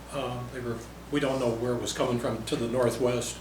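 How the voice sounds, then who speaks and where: There is noticeable background noise and audible room echo. Through it, a man speaks with an Upper Midwest accent. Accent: Upper Midwest American. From South Dakota, Yankton County. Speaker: county commissioner. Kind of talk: public meeting discussion. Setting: county commission meeting.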